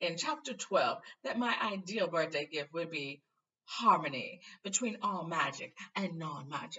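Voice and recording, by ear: Lively intonation marks this reading aloud in a natural voice, set against a quiet background.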